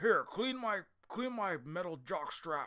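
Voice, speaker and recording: In a raised, projected, put-on character voice, a man speaks high-pitched at a fairly slow pace. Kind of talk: cool, macho.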